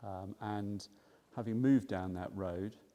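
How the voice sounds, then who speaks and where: A man with a very deep, low voice and a dark, mellow tone, recorded very cleanly against a silent background. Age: 50s. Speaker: GP doctor. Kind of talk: interview. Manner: halting.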